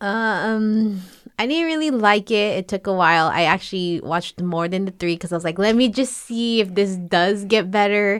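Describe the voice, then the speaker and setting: In a very clean recording with a silent background, a woman uses a normal speaking voice at a moderate pace, with medium pitch and ordinary pitch variation. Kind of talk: casual chat.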